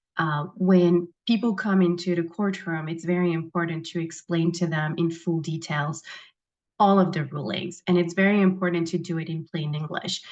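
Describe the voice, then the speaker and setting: A woman with a non-native accent, fairly low pitch, fairly even intonation and a moderate pace. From abroad, immigrated as adult. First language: not English. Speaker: judicial candidate, prosecutor. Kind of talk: candidate forum answers. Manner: simple, plain phrasing with fillers.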